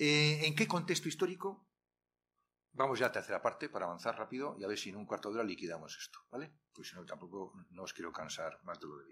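With light background noise behind him, a man talks at a very fast pace and his loudness swings widely. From Spain, Castile. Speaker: retired literature professor. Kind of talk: workshop lecture. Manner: animated. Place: classroom. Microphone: podium.

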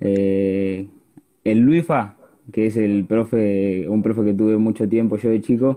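Against a quiet background, a man talks in a fairly low pitch with a dark, mellow tone and fairly even intonation. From Argentina, La Plata; Argentina. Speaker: youth football player; interviewee. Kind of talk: casual chat. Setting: Instagram live video call. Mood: calm, grateful. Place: home room. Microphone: earbuds.

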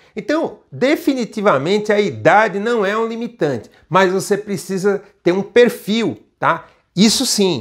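Over a quiet background, a man with a high voice talks at a fairly slow pace with lively intonation. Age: 50s. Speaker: international trade instructor and channel host; international trade instructor, channel host. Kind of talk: video lesson. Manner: casual, frequent 'tá?' tags. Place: office. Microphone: lapel.

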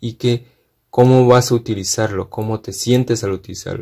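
A man's fairly low voice, dark and mellow in tone, with fairly even intonation

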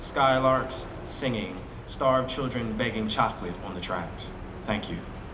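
A man's fairly slow speech, with ordinary pitch variation, comes through noticeable background noise. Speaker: poet reading his selected poems; poet. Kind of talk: poetry reading at a live event, reading poems aloud. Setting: outdoor plaza event with audience. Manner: measured, expressive and rhythmic, with dramatic pauses and a shift in intensity. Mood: calm, measured, solemn. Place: street. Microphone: podium.

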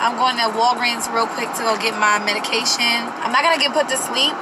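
Loud noise fills the background. Through it, a woman speaks at a moderate pace. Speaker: vlogger. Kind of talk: casual vlog chat. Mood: nervous. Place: car. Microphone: phone near.

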